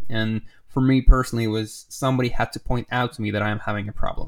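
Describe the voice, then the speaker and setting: On a very clean recording with a silent background, a man talks at a fairly quick pace in a medium pitch. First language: not English. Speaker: podcast host, designer. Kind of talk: casual interview chat. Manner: animated, playful.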